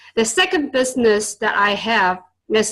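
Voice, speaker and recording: A woman speaks with a Chinese accent at a moderate pace. Her pitch is fairly high, with ordinary variation. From China (born in Vietnam). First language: Chinese and Vietnamese. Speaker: tutor and entrepreneur. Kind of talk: interview. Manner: hesitant, many fillers.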